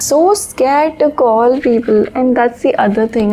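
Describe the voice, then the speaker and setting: Noticeable background noise runs through the clip. A woman is the one speaking. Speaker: author and vlogger. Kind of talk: casual vlog. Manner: monotone.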